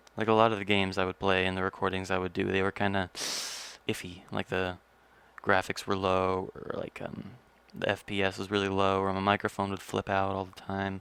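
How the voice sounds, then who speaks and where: Monotone, flat delivery at a fairly quick pace, on a very clean recording with a silent background. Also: man, very deep, low pitch for a man. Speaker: gaming youtuber. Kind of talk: casual solo podcast monologue. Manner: fast; rambling with fillers.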